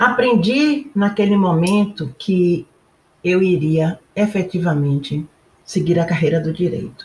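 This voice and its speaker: A woman speaks very slowly at a medium pitch. Her voice is somewhat breathy. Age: 70s. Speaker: retired federal appellate judge. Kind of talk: testimony.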